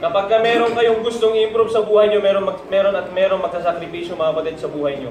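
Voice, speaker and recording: A man's very fast speech with ordinary pitch variation, audible room echo and noticeable background noise. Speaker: preacher. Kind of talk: sermon.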